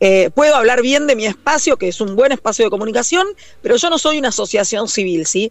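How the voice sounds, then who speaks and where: A woman talks in an ordinary speaking voice, fairly high in pitch, at a fairly quick pace. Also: lively intonation. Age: 40s. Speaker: communicator and activist. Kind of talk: interview.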